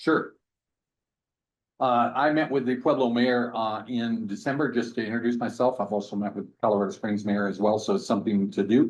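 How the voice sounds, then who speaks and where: At a fairly quick pace against a quiet background, a man speaks at medium pitch with ordinary pitch variation. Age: 60s. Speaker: mayor. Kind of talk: public meeting discussion. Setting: council committee meeting room. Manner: hesitant, frequent fillers.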